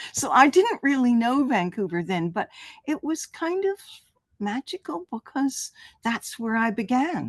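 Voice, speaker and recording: A woman with a Canadian accent speaks high and at a fairly slow pace. Her pitch swings very widely, and the sound is dry and close with no echo. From Canada, Ontario (Toronto). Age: 80s+. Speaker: artist. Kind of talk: interview. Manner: halting.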